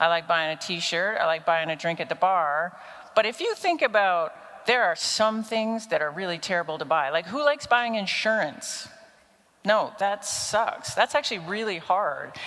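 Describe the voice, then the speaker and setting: At a moderate pace, a woman talks with lively intonation at a medium pitch. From Canada, Toronto. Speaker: business strategy consultant, conference speaker. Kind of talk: conference talk. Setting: stage with audience. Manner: animated.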